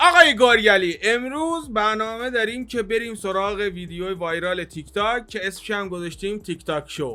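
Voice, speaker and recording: With a raised, projected voice, a man talks at a moderate pace in a high pitch, his tone bright, sharp and animated, his intonation lively, with hardly any pauses, on a very clean recording with a silent background. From Iran, Shiraz. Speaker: YouTuber, reaction video host. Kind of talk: casual reaction chat.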